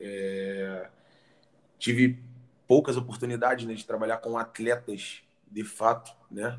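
A man with a medium-pitched voice speaks very slowly and in a flat monotone, leaving long, frequent pauses while his loudness swings widely. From Rio de Janeiro, Brazil. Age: 30s. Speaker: fitness professional. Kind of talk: casual interview.

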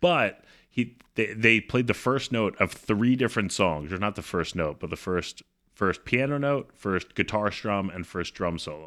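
A man's bright, sharp voice with an American accent, moderate pace and ordinary pitch variation, on a very clean recording with a silent background. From US, Baltimore. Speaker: podcast co-host. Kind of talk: casual chat.

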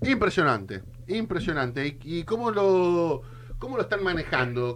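Against noticeable background noise, a man with a fairly high pitch speaks at a moderate pace with very wide pitch swings. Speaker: radio co-host. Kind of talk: radio interview. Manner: animated.

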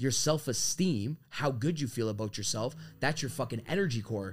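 On a very clean recording with a silent background, a man talks at a medium pitch, somewhat breathy, with ordinary pitch variation. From Canada, Toronto. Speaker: sales trainer. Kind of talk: casual chat.

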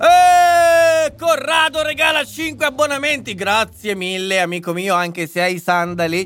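Pitch leaps up and down over a very wide range. Delivery comes at a fairly slow pace. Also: man, extremely high pitch for a man. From northern Italy, Lombardy. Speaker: political commentator and live streamer. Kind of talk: live stream commentary and chat reading. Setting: live stream from home computer setup. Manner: animated.

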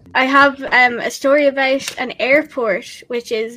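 A woman speaks here. Her intonation stays monotone and flat. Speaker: student podcast host. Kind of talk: casual chat.

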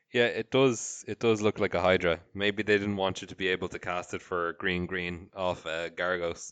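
In an Irish accent, a man with a very deep, low pitch talks at a moderate pace with fairly even intonation, the sound dry and close with no echo over a quiet background. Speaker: podcast host. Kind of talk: casual chat.

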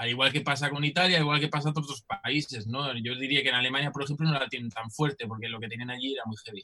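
This man's tone is bright and sharp. His pitch sits fairly high and varies in an ordinary way. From Germany and Netherlands. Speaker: musician. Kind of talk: interview.

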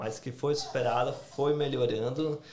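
A man's speech, with ordinary pitch variation, carries audible room echo. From Brazil, Santa Catarina. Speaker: YouTuber. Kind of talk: casual chat.

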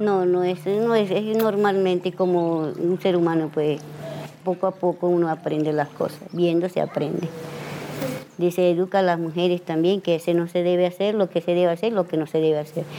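Against noticeable background noise, a woman speaks in a fairly low pitch with monotone, flat intonation. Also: moderate pace, very even loudness. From Venezuela, Gran Sabana. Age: 50s. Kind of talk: interview. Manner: halting.

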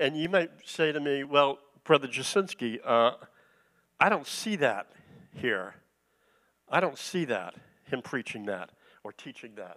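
With an American accent, a man talks with vocal fry, very wide pitch swings and long, frequent pauses, in a very clean recording with a silent background. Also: fairly slow pace, big swings in loudness. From US East Coast. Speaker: guest preacher, retired engineer. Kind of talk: sermon. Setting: church. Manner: halting, many fillers.

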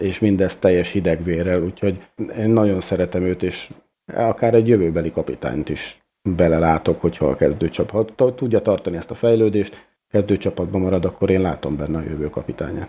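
The tone is dark and mellow, the loudness swings widely, and the pitch moves in an ordinary way at a fairly quick pace on a very clean recording with a silent background. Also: man, very deep, low pitch for a man. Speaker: podcast co-host. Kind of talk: casual chat.

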